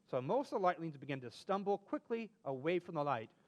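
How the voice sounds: At a fast pace, a man speaks with lively intonation and a fairly high pitch.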